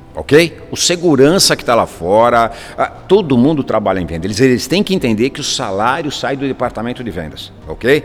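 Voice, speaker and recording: With noticeable background noise, a man of medium pitch talks at a moderate pace and makes very wide pitch swings. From São Paulo, northern zone. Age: 60s. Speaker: real estate agency CEO. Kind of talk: interview.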